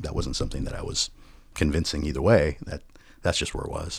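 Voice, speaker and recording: A man talks very fast in a very deep, low voice with vocal fry. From US West Coast, Los Angeles. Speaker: voiceover artist, wedding guest storyteller. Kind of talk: casual interview. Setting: podcast microphone, remote recording.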